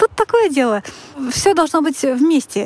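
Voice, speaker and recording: Through noticeable background noise, a woman talks at a moderate pace with very wide pitch swings. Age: 30s. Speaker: listener sharing a story. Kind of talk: personal story.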